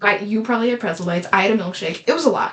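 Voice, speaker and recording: Speaking at a very fast pace, a woman uses a medium pitch with ordinary pitch variation and an animated tone. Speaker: podcast co-host. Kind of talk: casual chat. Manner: loud.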